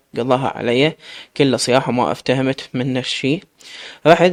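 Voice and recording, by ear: Natural-voiced reading aloud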